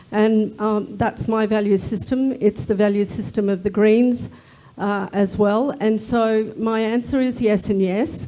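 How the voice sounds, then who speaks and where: The voice carries an Australian accent and a dark, mellow tone, moving at a fairly slow pace. Loudness stays very even and the intonation fairly even. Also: woman, fairly high pitch for a woman. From Australia, First Nations. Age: 60s. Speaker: Senate candidate. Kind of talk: political debate. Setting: live debate at a club, streamed online.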